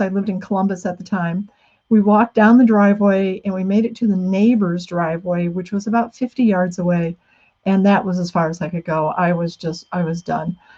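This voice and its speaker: A woman's somewhat breathy, medium-pitched voice with a dark, mellow tone and a moderate pace, against a quiet background. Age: 60s. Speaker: author. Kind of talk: talk. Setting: video call.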